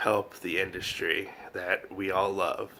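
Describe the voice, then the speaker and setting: A man speaks at a very slow pace. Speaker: manga YouTuber. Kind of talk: casual discussion video. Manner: hesitant, many fillers.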